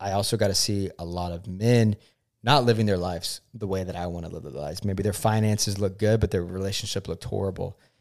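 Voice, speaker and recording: In an ordinary speaking voice, a man talks at a fairly quick pace with fairly low pitch and fairly even intonation. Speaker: podcast host's fiance. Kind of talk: casual chat.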